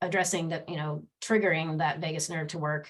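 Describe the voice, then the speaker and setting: The woman's voice sits at a fairly low pitch. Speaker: podcast host. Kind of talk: casual chat. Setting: live video show. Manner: quiet, soft-spoken.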